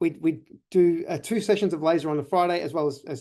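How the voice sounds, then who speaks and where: Against a quiet background, a man with an Australian accent speaks in a dark, mellow tone. He goes at a very fast pace with fairly even intonation. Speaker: chiropractor. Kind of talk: webinar presentation. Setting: online webinar.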